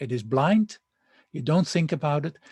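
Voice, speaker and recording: A man's fairly high voice, somewhat breathy, in a dry, close recording with no echo. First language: not English. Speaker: university lecturer. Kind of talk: lecture. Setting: recorded online lecture with slides. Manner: hesitant, many fillers and restarts.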